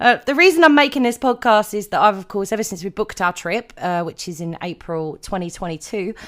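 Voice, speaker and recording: A woman with a British accent talks at a fairly quick pace with lively intonation, in a very clean recording with a silent background. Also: medium pitch for a woman, big swings in loudness. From Britain. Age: 30s. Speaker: podcast host. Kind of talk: podcast monologue.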